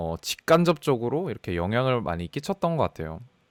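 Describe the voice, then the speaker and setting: Talking at a fairly quick pace, a man with a medium pitch makes very wide pitch swings in a very clean recording with a silent background. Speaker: data scientist. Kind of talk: personal career story talk. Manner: fast; talkative, casual.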